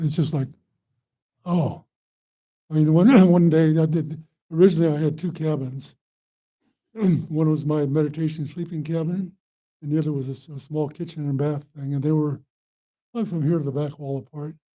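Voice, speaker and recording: With long, frequent pauses, a man speaks at a moderate pace in a dark, mellow tone, with a fairly high pitch and fairly even intonation. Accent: American. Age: 70s. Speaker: Buddhist monk and meditation teacher. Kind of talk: dharma talk to an audience.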